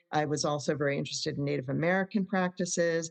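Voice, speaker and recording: Fairly quick pace and ordinary pitch variation from an ordinary speaking voice. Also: woman. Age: 60s. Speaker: psychotherapist. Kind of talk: podcast interview.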